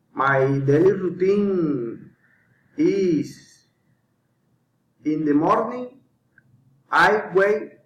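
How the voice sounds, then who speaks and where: A man with a Colombian accent speaks at a high pitch with lively intonation. His pace is very slow, with long, frequent pauses and audible room echo. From Colombia, Magdalena. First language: Spanish. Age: 30s. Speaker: English learner. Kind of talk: scripted self-introduction. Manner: halting.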